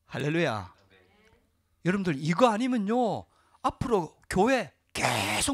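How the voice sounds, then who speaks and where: Against a quiet background, a man with a high pitch and lively intonation speaks at a very slow pace with long, frequent pauses. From South Korea. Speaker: pastor. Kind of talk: sermon. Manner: animated. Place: church. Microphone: handheld.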